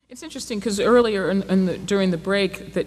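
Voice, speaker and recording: Her voice shows ordinary pitch variation as the woman speaks. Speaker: panelist, journalist. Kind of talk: panel discussion remarks. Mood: earnest, serious. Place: stage. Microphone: handheld.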